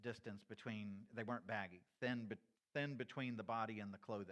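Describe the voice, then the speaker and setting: Speaking at a moderate pace, a man uses a plain, everyday voice with a medium pitch and ordinary pitch variation. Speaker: church teacher. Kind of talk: lecture.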